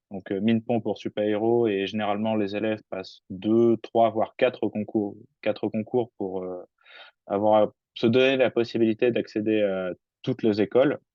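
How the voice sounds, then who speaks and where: A man with a fairly low pitch speaks at a fairly slow pace in a monotone, flat intonation. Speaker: engineering student. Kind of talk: webinar talk.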